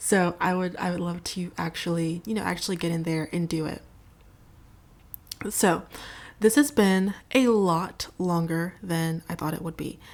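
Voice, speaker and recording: The recording is very clean, with a silent background. A woman talks at a moderate pace in a fairly low voice. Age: 20s. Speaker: podcast host. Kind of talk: casual monologue. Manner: monotone.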